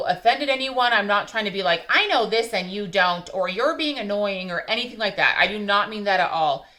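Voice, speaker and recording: A woman at a medium pitch with ordinary pitch variation, noticeable background noise behind her. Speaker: YouTuber reviewing wax melts. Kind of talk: casual vlog review. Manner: fast.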